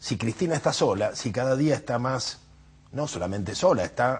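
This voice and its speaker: Here a man's voice is somewhat breathy. His pitch swings very widely. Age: 70s. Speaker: political activist. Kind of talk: TV interview. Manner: halting with fillers.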